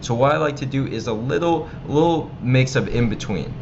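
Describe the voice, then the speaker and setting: Speech from a man with an American accent, with noticeable noise behind it and audible echo from the room. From United States. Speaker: online marketing instructor. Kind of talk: tutorial. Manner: casual, with many filler ums.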